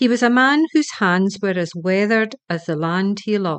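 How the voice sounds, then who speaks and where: Here is a woman with an unremarkable speaking voice, medium in pitch, talking at a fairly slow pace with lively intonation. The background is quiet. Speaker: storyteller. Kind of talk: children's bedtime story reading.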